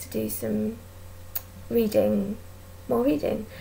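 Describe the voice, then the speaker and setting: A woman with an English accent at a moderate pace. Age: 20s. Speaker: vlogger. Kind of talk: casual chat. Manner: hesitant, many ums.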